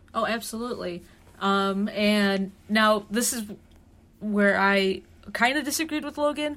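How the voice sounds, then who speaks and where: A woman's normal speaking voice at medium pitch, with an American accent, ordinary pitch variation, and a very clean recording over a silent background. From Chicago, south side. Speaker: student podcast host. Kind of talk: casual chat.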